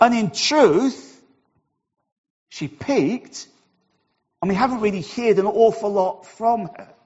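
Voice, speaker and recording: Speech in a Welsh accent comes at a very slow pace, with long, frequent pauses and a warm tone. The intonation is lively, and the loudness swings widely. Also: man, high pitch for a man. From Wales. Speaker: church minister. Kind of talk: sermon. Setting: church. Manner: warm, humorous.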